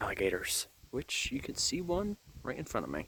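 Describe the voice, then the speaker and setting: A man whispers quietly at a moderate pace. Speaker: nature vlogger. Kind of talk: outdoor educational vlog. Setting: outdoors at a state park. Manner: whispering quietly.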